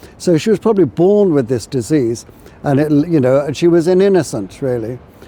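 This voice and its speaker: Over noticeable background noise, a man talks with lively intonation. His pitch is fairly high. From Ireland, later England. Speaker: history tour guide. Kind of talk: walking tour talk. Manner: halting, many fillers.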